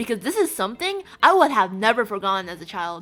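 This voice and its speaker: A woman with a fairly high pitch moves through very wide pitch swings. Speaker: art storytime youtuber. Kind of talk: casual storytime commentary. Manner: casual, filler-heavy with false starts.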